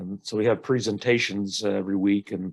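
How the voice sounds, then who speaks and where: Against a quiet background, a man with an American accent speaks at a moderate pace in a fairly low pitch. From northeastern US. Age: 70s. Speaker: aspiring author. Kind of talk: casual discussion in a writers' critique. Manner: halting, many fillers.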